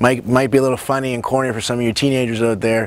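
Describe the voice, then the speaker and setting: Noticeable noise sits in the background. Against it, a man talks at a medium pitch. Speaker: nutrition coach and cooking show host. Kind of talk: personal introduction to camera. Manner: fast; animated.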